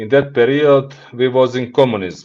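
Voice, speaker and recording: This man has a Montenegrin accent and a medium pitch. He talks at a moderate pace. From Montenegro. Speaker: business executive. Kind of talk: podcast interview. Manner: halting.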